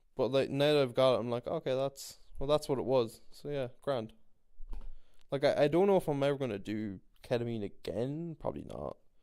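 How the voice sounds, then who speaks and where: Over a silent background on a very clean recording, a man with an Irish accent speaks at a medium pitch and moderate pace, leaving long, frequent pauses. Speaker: podcast host. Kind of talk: casual monologue. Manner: rambling, repetitive.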